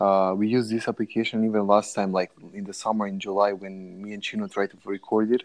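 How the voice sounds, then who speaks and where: Speaking at a very fast pace with hardly any pauses, a man with a Macedonian accent uses a fairly low, monotone, flat delivery and big swings in loudness. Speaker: podcast host. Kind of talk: casual banter. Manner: profane, joking.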